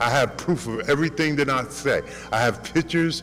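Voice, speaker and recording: A man speaks at a fairly high pitch with ordinary pitch variation. Noticeable background noise is present. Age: 60s. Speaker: tenant speaking at public comment. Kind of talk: public comment at council meeting. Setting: city council meeting. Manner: animated.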